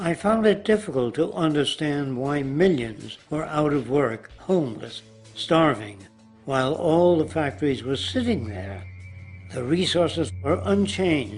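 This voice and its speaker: Over music in the background, a man with an American accent speaks fairly slowly in a fairly high pitch, his intonation lively. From New York City. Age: 80s+. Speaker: social engineer. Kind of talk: documentary narration.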